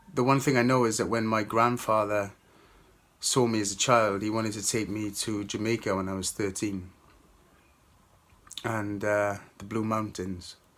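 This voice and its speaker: In a Welsh accent, a man with a fairly low pitch speaks at a moderate pace in a monotone, flat intonation, leaving long, frequent pauses. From Wales. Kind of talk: testimony. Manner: halting, many fillers.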